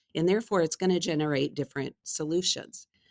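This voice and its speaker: A woman with an American accent talks at a fairly quick pace. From United States. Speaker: HR executive. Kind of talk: interview.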